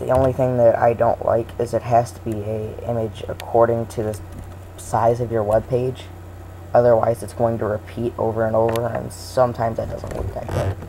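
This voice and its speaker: The speech moves at a moderate pace, with noticeable noise behind it. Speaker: tutorial maker. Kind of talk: tutorial. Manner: hesitant, many fillers.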